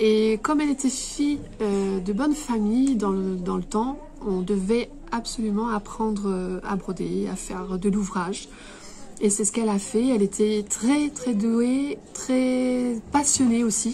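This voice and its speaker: Words come out at a very slow pace. Behind them is noticeable background noise. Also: woman, fairly high pitch for a woman, ordinary pitch variation. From Réunion (Cilaos). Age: 30s. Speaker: embroiderer and shop owner. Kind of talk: interview. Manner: hesitant, many fillers.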